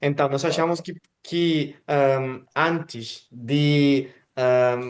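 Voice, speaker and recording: With a Spanish accent, a man talks at a fairly high pitch. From Mexico. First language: Spanish (speaking Portuguese). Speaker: channel host interviewer. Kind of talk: casual interview conversation. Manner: hesitant, many fillers.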